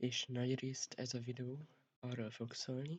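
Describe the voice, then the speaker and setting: Somewhat breathy and medium in pitch, a man speaks at a very slow pace. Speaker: vlogger. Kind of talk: casual vlog talk.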